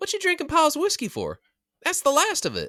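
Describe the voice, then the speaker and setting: A man's put-on character voice, squeaky and extremely high in pitch, at a fairly quick pace. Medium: read story. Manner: frank, practical.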